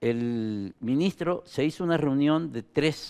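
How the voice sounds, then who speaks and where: Lively intonation from a man against a quiet background. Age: 70s. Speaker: former government minister. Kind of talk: interview. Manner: halting.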